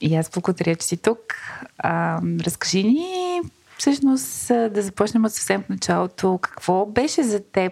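Noticeable background noise sits behind a woman speaking at a fairly slow pace, the sound dry and close with no echo. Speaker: podcast host. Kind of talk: interview.

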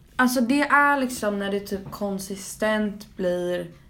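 Noticeable background noise and audible room echo surround speech that has ordinary pitch variation. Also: woman. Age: 18. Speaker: podcast co-host. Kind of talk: casual chat.

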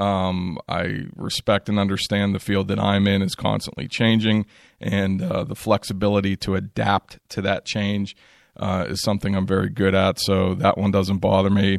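A man's fairly low-pitched voice, a normal speaking voice, at a moderate pace with fairly even intonation. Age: 40s. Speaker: podcast host, EMS manager. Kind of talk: solo podcast monologue. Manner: casual with frequent fillers.

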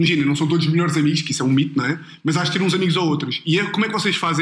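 A man's high-pitched, very fast speech over noticeable background noise. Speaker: podcast host. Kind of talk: casual chat. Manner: animated, laughing.

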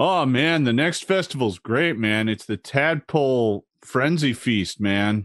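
In a put-on character voice, the speaker drawls at a fairly slow pace with hardly any pauses, against a quiet background. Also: man, medium pitch for a man. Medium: actual play. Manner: relaxed, drawling, says "like" and "man" constantly.

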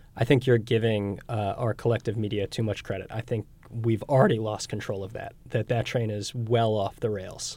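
On a very clean recording with a silent background, a man with a medium pitch and a dark, mellow tone speaks at a moderate pace in monotone, flat intonation, with hardly any pauses. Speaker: podcast host. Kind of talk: news podcast hosting and panel discussion.

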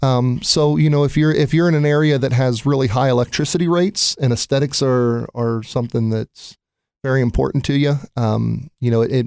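This man speaks with an American accent at a fairly quick pace, his pitch medium with ordinary variation. The recording is very clean, with a silent background. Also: very even loudness. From Ohio, US Midwest. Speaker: solar company operations director. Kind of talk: casual interview. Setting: studio. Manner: halting, many fillers.

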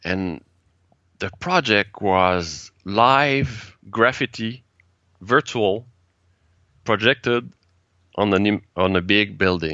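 Using lively intonation, a man speaks with long, frequent pauses. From Quebec. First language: French. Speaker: TEDx organizer and speaking coach. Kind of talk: interview. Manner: halting.

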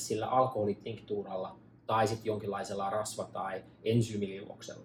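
At a moderate pace comes a normal speaking voice. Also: man. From Finland, Pirkanmaa near Tampere. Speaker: medicinal mushroom entrepreneur. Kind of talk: casual interview. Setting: at the host's home in Los Angeles.

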